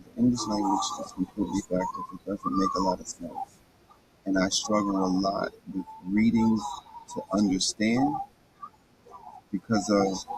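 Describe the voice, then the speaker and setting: A man at a moderate pace, with long, frequent pauses, big swings in loudness and noticeable background noise. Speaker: podcast host reading a book aloud. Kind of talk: casual talk aside. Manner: halting, with repetitions and stumbles.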